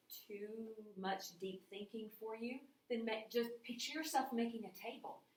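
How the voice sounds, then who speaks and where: Audible room echo surrounds a woman whose fairly high pitch shows ordinary pitch variation. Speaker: math teacher. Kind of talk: recorded lecture. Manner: casual.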